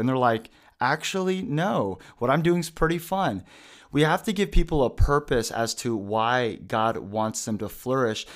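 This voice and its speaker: A man with an unremarkable speaking voice talks at a moderate pace with lively intonation. The recording is very clean, the background silent. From Pacific Northwest US (Washington). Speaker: youth pastor. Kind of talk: casual interview chat.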